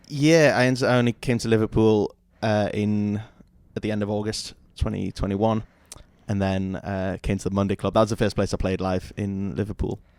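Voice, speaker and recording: A man's fairly low voice in a Geordie accent, with long, frequent pauses. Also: ordinary pitch variation, moderate pace, very clean recording, silent background. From northern England, Newcastle. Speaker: singer-songwriter. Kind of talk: casual interview chat. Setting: studio with camera.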